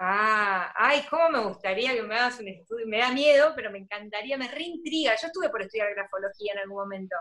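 An ordinary speaking voice moves at a fairly quick pace with hardly any pauses. Its loudness swings widely. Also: woman, fairly high pitch for a woman, lively intonation. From Argentina, provinces outside Buenos Aires. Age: 30s. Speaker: graphic designer and organization course teacher. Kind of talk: casual interview livestream. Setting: video call livestream.

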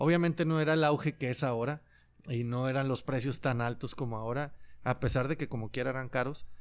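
Fairly even intonation and a fairly quick pace come from a man with a plain, everyday voice at medium pitch. The recording is very clean, with a silent background. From Mexico, Loreto, Zacatecas. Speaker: musician and sneaker collector. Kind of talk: casual chat.

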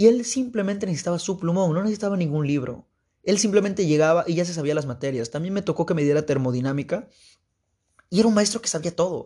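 Against a quiet background, a man talks in an animated tone with a high pitch and ordinary pitch variation. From Mexico, Veracruz state. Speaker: podcast host, university student. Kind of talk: casual monologue.

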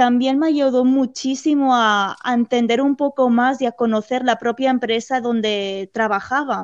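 A woman's high voice at a fairly slow pace, with hardly any pauses, fairly even intonation and very even loudness. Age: 20s. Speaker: theme park employee. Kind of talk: interview.

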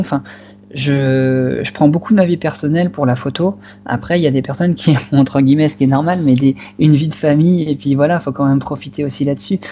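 The man talks at a very fast pace. His pitch is fairly high. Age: 20s. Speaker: wildlife photographer. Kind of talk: interview. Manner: halting.

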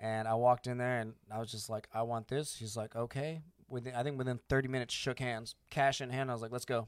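A man with an American accent talks at a very fast pace with hardly any pauses. His medium pitch holds a monotone, flat intonation. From Arizona, US (born Panama, military family). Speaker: air force veteran and business owner. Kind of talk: casual chat. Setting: studio.

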